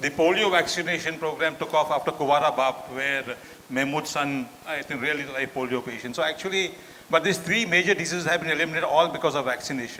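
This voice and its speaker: Over noticeable background noise, a man with a fairly high pitch and ordinary pitch variation talks at a very fast pace. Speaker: doctor giving a talk. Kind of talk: lecture.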